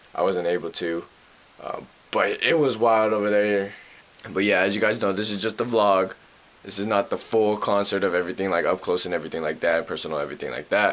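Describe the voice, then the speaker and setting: Noticeable background noise sits behind a man with a fairly low voice. He talks at a fairly quick pace with ordinary pitch variation. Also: long, frequent pauses. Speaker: vlogger. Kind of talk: casual vlog talk.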